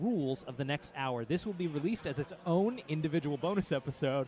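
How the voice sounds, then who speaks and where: At a moderate pace, a man with a fairly high voice talks with lively intonation. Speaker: podcast host. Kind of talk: casual chat. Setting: convention booth. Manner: loud.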